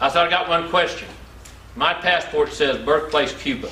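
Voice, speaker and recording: Over noticeable background noise and audible room echo, a man with a Southern US accent talks at a fairly quick pace. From US Deep South. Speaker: motivational speaker. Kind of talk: motivational talk.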